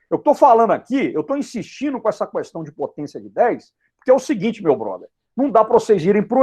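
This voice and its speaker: Pitched extremely high, a man talks in an animated tone with very wide pitch swings. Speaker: physics teacher. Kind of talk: lecture. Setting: online live class. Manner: fast.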